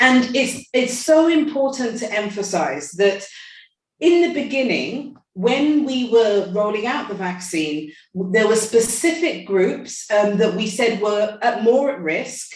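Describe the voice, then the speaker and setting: A somewhat breathy woman's voice, fairly high in pitch, with lively intonation, a fairly slow pace and audible room echo. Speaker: medical expert. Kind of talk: panel talk. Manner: halting.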